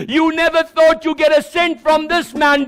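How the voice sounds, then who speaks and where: An animated man's extremely high voice amid noticeable background noise. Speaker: pastor. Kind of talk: sermon.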